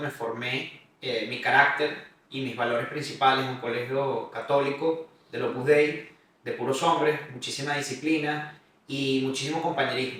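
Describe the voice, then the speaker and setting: Over audible room echo, a man speaks at a moderate pace with a fairly high pitch and fairly even intonation. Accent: Caracas. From Venezuela, Caracas. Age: 30s. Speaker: podcast host, real estate consultant. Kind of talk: personal life story monologue.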